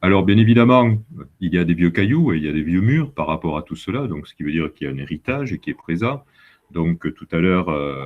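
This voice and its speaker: In a southern French accent, a man with a very deep, low pitch speaks with lively intonation. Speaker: university vice-president and geologist. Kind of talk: presentation to students. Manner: hesitant, many fillers.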